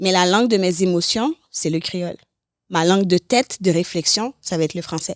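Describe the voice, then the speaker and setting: In a Haitian accent, a woman speaks with ordinary pitch variation in a very clean recording with a silent background and a dry, close sound with no echo. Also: medium pitch for a woman, moderate pace. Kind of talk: podcast interview.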